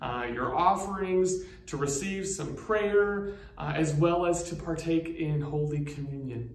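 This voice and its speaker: Audible room echo surrounds a man speaking at a fairly slow pace and high pitch in a soothing, warm tone. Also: ordinary pitch variation. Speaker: pastor. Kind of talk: pastoral prayer read aloud, a spoken blessing with solemn, measured cadence. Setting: recorded church video message, online worship. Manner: slow, reverent, soothing and unhurried, with warm, gentle pauses; informal, welcoming tone in the announcements with hesitant 'um' fillers. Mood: warm, reverent. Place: church.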